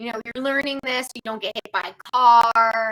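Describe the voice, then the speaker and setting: In a dry, close recording with no echo, a woman speaks at a moderate pace. Her fairly high voice has a bright, sharp tone. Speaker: animal communicator. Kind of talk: casual chat.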